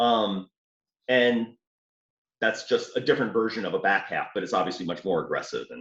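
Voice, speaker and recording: A moderate pace with a slight Southern US accent. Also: man. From New Orleans, Louisiana. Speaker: off-road hobbyist. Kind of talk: casual chat. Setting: call.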